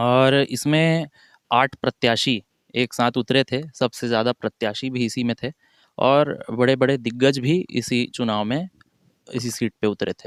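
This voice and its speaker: The recording is very clean, with a silent background and a dry, close sound with no echo. The intonation stays fairly even. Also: man, medium pitch for a man. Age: 20s. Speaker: newly elected local politician. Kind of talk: interview. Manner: halting, with filler sounds.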